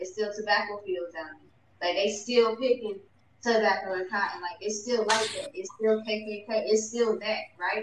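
A woman's fairly high voice at a moderate pace, fairly even in intonation but with big swings in loudness, over noticeable background noise. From southeast Georgia, US South. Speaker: discussion moderator. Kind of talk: casual group discussion. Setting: online live-stream room.

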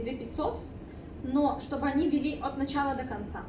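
A woman with a high-pitched voice talks over noticeable background noise. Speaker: business incubator coordinator. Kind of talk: informational presentation. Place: meeting room.

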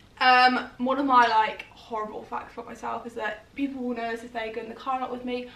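A woman with an English accent at a very fast pace, fairly even in intonation, with audible room echo. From England. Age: 20s. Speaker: YouTuber. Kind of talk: casual chat. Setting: at home on sofa. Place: home room. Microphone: camera far.

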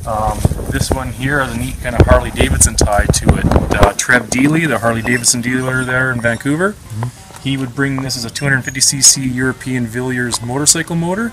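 A man talks fairly fast while clear music plays behind him. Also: ordinary pitch variation. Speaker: guide. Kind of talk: interview answer. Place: workshop. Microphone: phone near.

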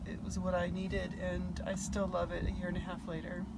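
A woman at a moderate pace over noticeable background noise. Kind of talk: casual tour chat. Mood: warm, pleased. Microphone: camera far.

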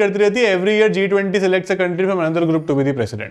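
A man with a high pitch at a fairly quick pace, against a quiet background. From India. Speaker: exam prep teacher. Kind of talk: online class lecture. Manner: code-switching Hindi and English. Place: classroom.

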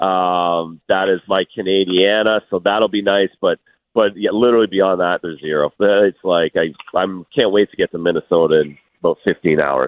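With very deep, low pitch and fairly even intonation, a man speaks at a moderate pace in a dry sound with no echo. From Canada. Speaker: hockey analyst, former player. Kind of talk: radio sports interview. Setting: phone call.

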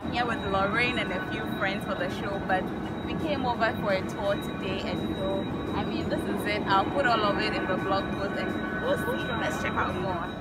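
Loud background noise surrounds a woman's voice in a dry recording with no echo. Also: ordinary pitch variation, moderate pace. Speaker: vlogger. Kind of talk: casual vlog chat. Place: open country. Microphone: phone near.

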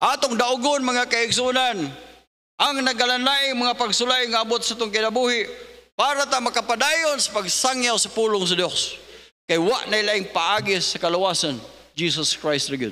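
At a moderate pace, a man uses a raised, projected voice with an extremely high pitch and ordinary pitch variation. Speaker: preacher. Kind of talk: sermon. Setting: church. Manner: emphatic pulpit delivery, repeating verses and asking 'Amen?'. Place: church. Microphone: podium.

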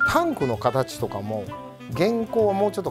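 A man's voice with very wide pitch swings, over clear music in the background. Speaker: vintage lantern repair shop owner. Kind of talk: interview answer. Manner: casual. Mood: relaxed, friendly explaining. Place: shop.

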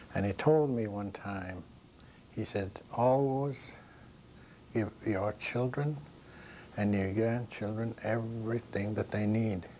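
A man's fairly low, dark, mellow voice at a very slow pace, with long, frequent pauses, ordinary pitch variation and light background noise. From Maine, Passamaquoddy reservation. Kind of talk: interview. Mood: calm, reflective, proud. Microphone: lapel.

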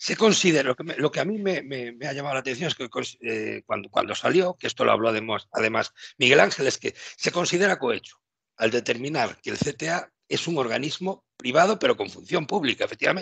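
A man's voice sounds bright and sharp, pitched fairly high. He speaks fairly quickly with lively intonation, in a dry sound with no echo. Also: quiet background. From Spain, Galicia. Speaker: youtube channel host. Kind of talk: casual interview. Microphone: headset.

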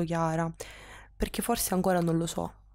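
A woman's fairly low, dark and mellow voice, flat and monotone, at a fairly quick pace on a very clean recording with a silent background. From Sicily, Catania. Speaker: interviewee in documentary. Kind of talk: personal testimony. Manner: halting.

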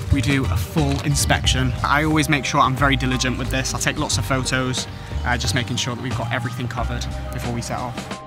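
Clear music sits in the background while a man talks at a very fast pace, the sound dry with no echo. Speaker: travel vlogger. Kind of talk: casual vlog chat. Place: street. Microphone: phone near.

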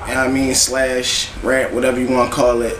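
Amid light background noise and audible room echo, a man with a fairly high pitch talks at a moderate pace. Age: 20s. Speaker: rapper; interviewee. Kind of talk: interview. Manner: casual, filler-heavy. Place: home room. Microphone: camera far.

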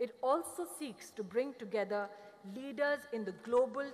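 The speaker is a woman with a high-pitched voice. She talks at a moderate pace. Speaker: government minister. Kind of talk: formal speech. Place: hall. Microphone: podium.

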